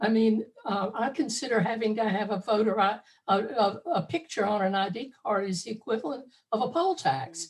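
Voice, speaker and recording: At a moderate pace, a woman speaks in a somewhat breathy voice with a fairly high pitch. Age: 70s. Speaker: audience member. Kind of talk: casual chat.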